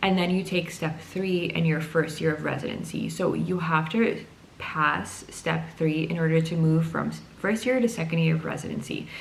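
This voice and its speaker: Background noise is noticeable, and the room echoes. A woman speaks with a non-native accent. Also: moderate pace. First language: not English. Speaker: psychiatry resident doctor. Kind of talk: casual explainer vlog.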